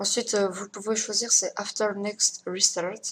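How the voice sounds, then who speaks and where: Intonation stays fairly even. The pace is very slow. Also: woman. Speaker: tech tutorial youtuber. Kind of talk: tutorial. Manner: hesitant, many fillers.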